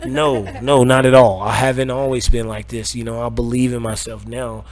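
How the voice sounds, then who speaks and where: Audible room echo and noticeable background noise fill the recording. A man talks at a moderate pace. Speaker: cannabis dispensary owner. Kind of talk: interview. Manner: loud; repetitive stammering.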